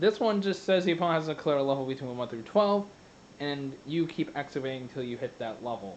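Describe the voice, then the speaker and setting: A man speaks very fast in a fairly high voice, his intonation lively. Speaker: card game YouTuber. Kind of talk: tutorial. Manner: halting.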